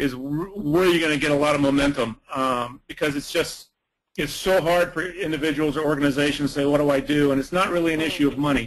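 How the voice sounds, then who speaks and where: Someone talks at a very fast pace with an American accent and fairly even intonation. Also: man, fairly high pitch for a man. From US South. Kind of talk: webinar comment.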